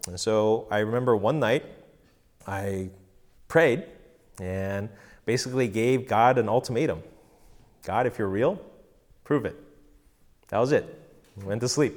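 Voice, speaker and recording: A man with an American accent speaks at a medium pitch and a fairly slow pace, with ordinary pitch variation. He leaves long, frequent pauses, and the recording is very clean with a silent background. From Korean American, grew up mostly in the US. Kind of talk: personal testimony. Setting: home recording session with live audience.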